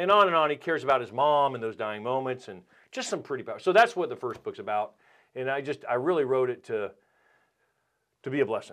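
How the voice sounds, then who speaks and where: A man with a North Carolina accent, fairly high-pitched and lively in intonation, at a very fast pace with long, frequent pauses, on a very clean recording with a silent background. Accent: Southern US (North Carolina). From North Carolina (Winston-Salem). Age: 50s. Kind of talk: casual chat.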